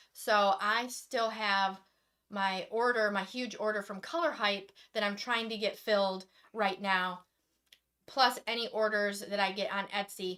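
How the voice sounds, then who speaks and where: A loud American-accented woman, medium in pitch with a bright, sharp tone, fairly even intonation and a fairly slow pace. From Michigan. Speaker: acrylic pouring artist. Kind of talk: live stream demonstration chat.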